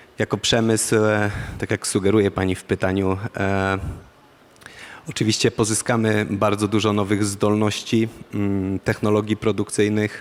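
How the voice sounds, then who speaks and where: In a Polish accent, a man with a fairly low pitch speaks at a moderate pace with monotone, flat intonation. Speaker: defence industry program manager. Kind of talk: panel discussion. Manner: halting, many fillers.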